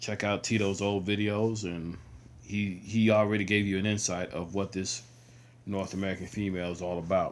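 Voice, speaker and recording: Mumbled speech at a moderate pace, monotone and flat, on a very clean recording with a silent background. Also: man. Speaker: video blogger. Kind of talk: casual monologue. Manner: mumbling; halting.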